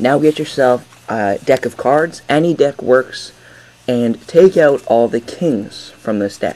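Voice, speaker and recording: Noticeable background noise accompanies a man with a medium pitch. He speaks very slowly, with ordinary pitch variation. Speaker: magic tutorial creator. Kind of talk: tutorial.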